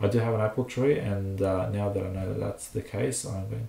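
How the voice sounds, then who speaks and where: A man with a non-native accent. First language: not English. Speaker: home gardener, channel owner. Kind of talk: reading aloud with commentary. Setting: live stream. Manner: hesitant, with fillers.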